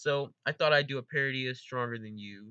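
A man's bright, sharp voice at a moderate pace, with a dry sound, no echo and a quiet background. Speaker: gaming video creator. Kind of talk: casual vlog chat. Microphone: studio mic.

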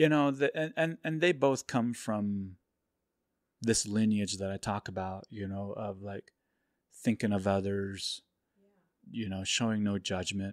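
A man talks at a fairly slow pace in a fairly low pitch, with ordinary pitch variation. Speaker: photographer. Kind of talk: testimony. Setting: in host's home. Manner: halting, many fillers.

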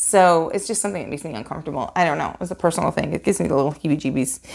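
A woman speaks with an American accent and vocal fry. The background is quiet. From New York. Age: 40s. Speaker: YouTube painting artist; painting channel host. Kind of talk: Q&A video monologue. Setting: home video recording. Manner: fast talker; chatty, laughs often. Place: home room.

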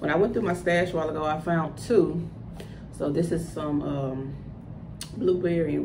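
A woman with an American accent and a very deep, low pitch talks at a fairly quick pace. Noticeable background noise runs underneath. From US South, Louisiana (Ruston); Louisiana. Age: 30s. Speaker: cosmetics entrepreneur. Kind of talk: tutorial. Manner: casual, hesitant with fillers. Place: home room. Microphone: phone near.

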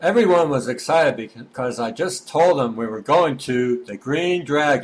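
This man has a normal speaking voice, pitched fairly high. His intonation is lively. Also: moderate pace. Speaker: amateur comedy voice-over maker. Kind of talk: homemade comedic video narration with dialogue. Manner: playful, silly.

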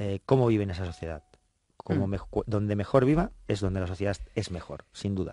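A man speaks with a fairly low pitch and a dark, mellow tone, the sound dry with no echo. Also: ordinary pitch variation, fairly quick pace. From Spain. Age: 40s. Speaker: politician. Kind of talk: radio interview. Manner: halting. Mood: friendly, smiling. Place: studio. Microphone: studio mic.

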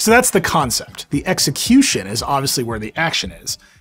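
Faint music sits in the background. A man talks over it at a fairly quick pace. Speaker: tech reviewer. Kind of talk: product review narration. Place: studio.

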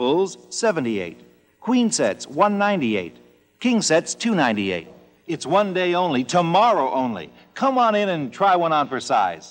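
The speaker talks at a moderate pace. Faint music plays in the background. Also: man. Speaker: commercial announcer.

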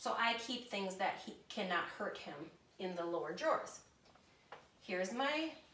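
Fairly slow speech with audible room echo and light background noise. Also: woman. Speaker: home cook demonstrating kitchen items. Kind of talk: tutorial. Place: kitchen. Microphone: camera far.

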